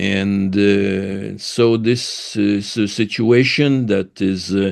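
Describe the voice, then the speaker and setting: This man has a French accent. His pitch sits in the medium range. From France. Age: 80s+. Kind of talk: interview, personal background. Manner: halting, many fillers.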